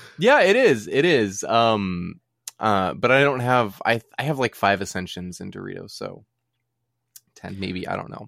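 Lively intonation from a man with a normal speaking voice at medium pitch and a fairly slow pace. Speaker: podcast co-host. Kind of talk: casual chat. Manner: joking, playful.

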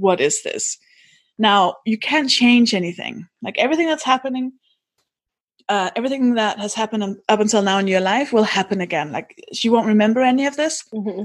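With a Danish accent, a woman talks at a fairly quick pace in a fairly high voice with ordinary pitch variation against a quiet background. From Denmark. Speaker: podcast host and comedian. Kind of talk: casual interview.

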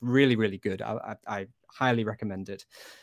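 Delivered at a fairly quick pace, the speech has a dry, close sound with no echo in a very clean recording with a silent background. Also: man. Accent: Lancashire. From Blackpool, northwest England. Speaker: video game studio executive. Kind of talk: casual interview chat. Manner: relaxed, chatty, laughs often.

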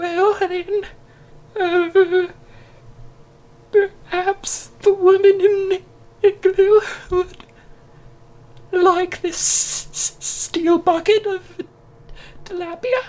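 A put-on character voice in an extremely high pitch speaks at a very slow pace with flat, monotone intonation and long, frequent pauses. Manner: polite, timid, earnest.

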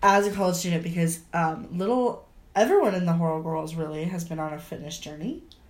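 An animated tone and ordinary pitch variation carry a fairly quick pace through audible room echo. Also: woman, fairly low pitch for a woman. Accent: American. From US Midwest. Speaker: podcast co-host, college student. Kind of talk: casual chat. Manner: animated, laughing often.

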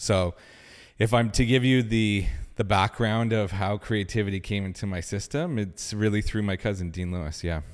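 A man with a Canadian accent and a normal speaking voice, fairly low in pitch, with ordinary pitch variation at a moderate pace, on a very clean recording with a silent background. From Canada, Ottawa. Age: 30s. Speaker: film director and studio co-founder. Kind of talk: casual chat. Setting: studio.

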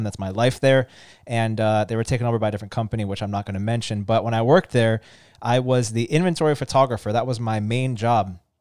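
Talking very fast, a man keeps a medium pitch and fairly even intonation. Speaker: car podcast host, former car dealership photographer. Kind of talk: casual chat.

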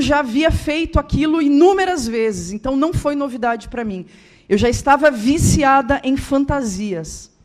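A woman speaks at a moderate pace in a high-pitched voice with lively intonation. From Rio Grande do Sul, southern Brazil. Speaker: guest speaker and author. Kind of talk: testimony. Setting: church.

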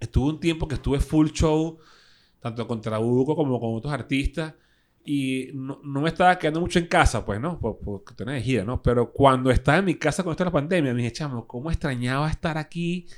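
This is a very clean recording with a silent background. A man with an unremarkable speaking voice talks at a fairly quick pace, his pitch fairly high with ordinary variation. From Venezuela, Caracas (Caricuao). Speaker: guitarist, DJ and radio host. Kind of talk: casual interview chat. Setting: studio.

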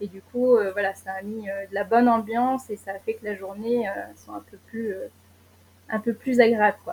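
The somewhat breathy voice moves at a moderate pace with fairly even intonation and big swings in loudness. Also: woman, fairly high pitch for a woman. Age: 20s. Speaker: traveller sharing experience. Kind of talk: casual interview. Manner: hesitant, many fillers.

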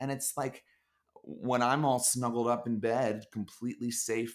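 With an American accent, a man speaks in an unremarkable speaking voice at medium pitch and a moderate pace. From US Northeast, Philadelphia. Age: 20s. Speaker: startup marketer. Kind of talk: casual chat.

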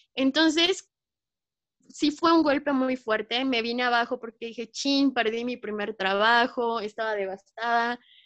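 Over a dry, close sound with no echo, a woman with a high pitch speaks at a fairly slow pace. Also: ordinary pitch variation, quiet background. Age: 20s. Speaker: journalist and photojournalist. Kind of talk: interview. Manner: animated.

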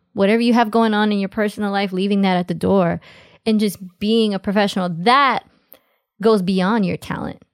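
In a New York accent, a woman talks at a moderate pace with fairly even intonation and long, frequent pauses. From US, New York City (Queens). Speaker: dancer and choreographer. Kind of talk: casual interview chat.

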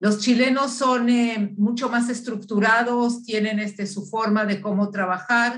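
Somewhat breathy and fairly high-pitched, a woman speaks at a fairly slow pace. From Uruguay. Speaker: business founder and consultant. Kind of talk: interview. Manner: halting, many fillers.

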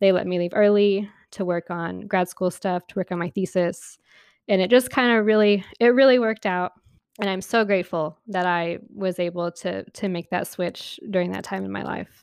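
At a moderate pace, a woman talks at a medium pitch with fairly even intonation, the sound dry and close with no echo over a quiet background. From Oklahoma City, raised from age six. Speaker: podcast co-host. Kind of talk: casual chat.

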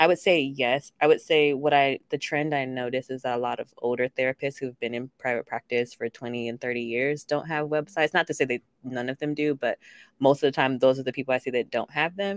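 A woman with a very deep, low pitch speaks at a fairly quick pace. Her intonation is fairly even, and the background is quiet. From grew up all over (military family). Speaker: therapist and practice owner. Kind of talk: interview.

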